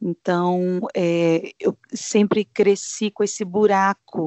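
A woman with a medium-pitched voice keeps her intonation fairly even. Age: 40s. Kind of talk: casual chat. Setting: video call.

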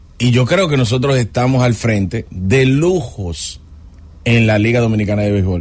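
At a moderate pace, a man with a medium pitch talks in a somewhat breathy voice, with lively intonation and very even loudness. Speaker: sports radio host. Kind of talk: sports talk radio. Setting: studio. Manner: animated.

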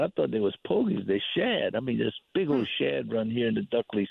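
Fairly quick speech with a Southern US accent. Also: man. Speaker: hunting and fishing guide. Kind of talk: casual chat. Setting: outdoors.

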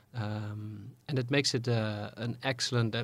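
On a very clean recording with a silent background, a man with a Dutch accent talks at a medium pitch with fairly even intonation. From Netherlands. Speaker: diplomat. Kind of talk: interview. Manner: halting, many fillers.

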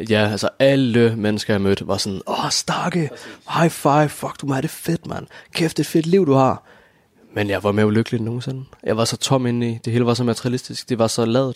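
A man talks at a fairly quick pace, his pitch medium and its variation ordinary. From Copenhagen, Denmark. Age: 20s. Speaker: former YouTuber. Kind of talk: interview. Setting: at home. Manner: halting.

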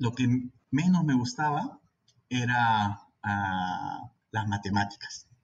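The man's delivery is very slow and somewhat breathy, with ordinary pitch variation. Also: medium pitch for a man. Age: 30s. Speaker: infectious disease physician. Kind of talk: interview. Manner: halting.

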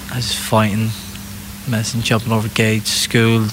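Noticeable background noise accompanies a man talking at a moderate rate. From England, Irish traveller community. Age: 20s. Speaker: professional boxer. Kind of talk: interview.

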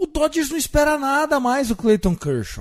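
A man with an animated tone and lively intonation speaks at a moderate pace. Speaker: podcast host. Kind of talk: casual chat.

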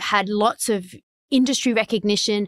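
On a very clean recording with a silent background, a woman with an Australian accent speaks at a medium pitch in a dry, close sound with no echo. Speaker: tech executive. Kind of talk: interview conversation. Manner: animated.

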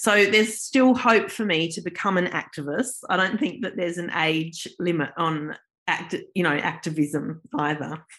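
A woman speaks with lively intonation and hardly any pauses. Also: fairly low pitch for a woman, moderate pace. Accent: Australian. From South Australia, Adelaide. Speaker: artist and art lecturer. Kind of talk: interview.

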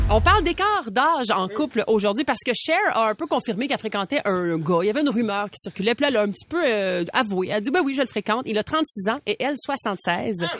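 Her pitch fairly high and swinging very widely, a woman talks at a fairly quick pace with hardly any pauses. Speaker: radio host. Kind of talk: casual chat.

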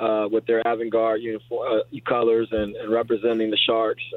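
His pitch is medium for a man. He talks at a moderate speed. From US (immigrant from Panama as infant). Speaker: high school football coach. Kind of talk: interview.

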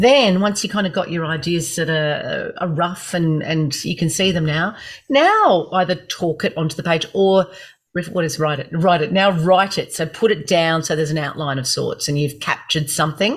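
Somewhat breathy speech in an Australian accent, moderate in pace, with ordinary pitch variation, on a very clean recording with a silent background. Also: woman, fairly low pitch for a woman. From Gold Coast, Queensland, Australia. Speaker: speech and performance coach. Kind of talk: interview.

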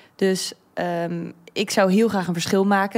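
Recorded very cleanly over a silent background, a woman speaks at a medium pitch with fairly even intonation. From grew up abroad as expat child. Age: 20s. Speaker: engineering student. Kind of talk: casual chat. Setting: studio.

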